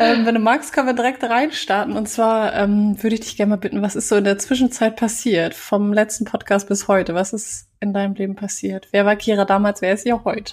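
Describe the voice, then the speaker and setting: With an unremarkable speaking voice, a woman talks at a fairly quick pace with hardly any pauses and fairly even intonation, in a very clean recording with a silent background. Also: fairly high pitch for a woman. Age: 30s. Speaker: podcast host and communication trainer. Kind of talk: interview conversation.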